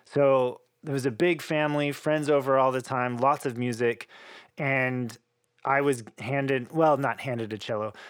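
This man has an unremarkable speaking voice at a medium pitch, with fairly even intonation and a moderate pace. The recording is very clean with a silent background. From Oklahoma, US. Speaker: cellist and composer. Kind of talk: interview conversation.

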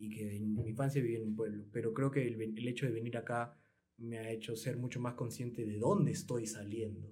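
A man speaks at a fairly quick pace and medium pitch, his tone dark, mellow and somewhat breathy, with audible echo in the room. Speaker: podcast host. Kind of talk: casual interview. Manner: stammering, repeats words.

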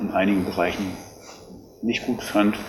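Fairly even intonation from a man. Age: 50s. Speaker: lifeguard association official. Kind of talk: interview. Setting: on location at rescue station.

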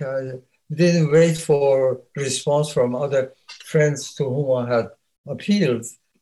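With a dark, mellow tone, a somewhat breathy man speaks at a fairly slow pace with fairly high pitch and ordinary pitch variation. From Iran. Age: 90s. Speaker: composer and retired music professor. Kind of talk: interview. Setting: video call. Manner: halting.

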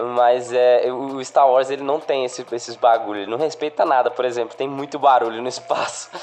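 Noticeable background noise sits behind a man speaking at a medium pitch with fairly even intonation. He goes at a fairly quick pace with hardly any pauses. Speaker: podcast co-host. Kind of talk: casual chat.

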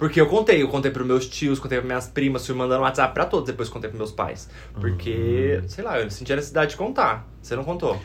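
A man talks at a very fast pace with hardly any pauses. His medium-pitched voice carries vocal fry. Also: lively intonation. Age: 20s. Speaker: podcast co-host. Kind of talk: casual chat.

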